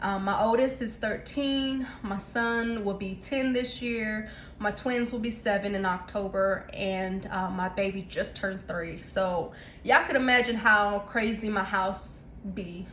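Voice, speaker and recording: A woman with a Southern US accent speaks at a fairly slow pace. Her medium pitch shows ordinary variation, and room echo is audible. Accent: Southern twang. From North Carolina, US South. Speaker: cooking vlogger. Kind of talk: casual cooking tutorial. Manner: casual with many fillers (um, uh).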